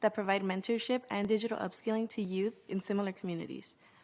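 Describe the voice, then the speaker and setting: Very fast speech from a woman at medium pitch with fairly even intonation, over a quiet background. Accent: Californian. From South Central Los Angeles, US. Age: 20s. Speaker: nonprofit youth leader. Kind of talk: conference presentation.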